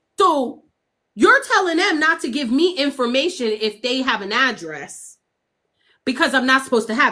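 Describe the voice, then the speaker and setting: A woman speaks loudly with lively intonation. Her tone is animated, bright and sharp. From Pennsylvania. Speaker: livestreamer and mother of missing child. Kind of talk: livestream chat.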